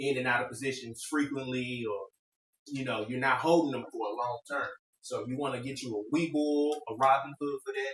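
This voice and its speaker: A man with an unremarkable speaking voice, medium pitch, fairly even intonation and moderate pace. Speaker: podcast host giving investing tips. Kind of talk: casual chat.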